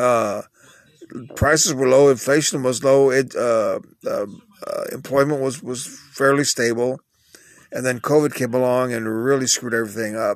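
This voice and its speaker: A man with a Texan accent at medium pitch, moderate pace, and fairly even intonation. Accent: Texan American English. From Texas. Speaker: podcast host, dialysis patient. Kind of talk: casual solo monologue.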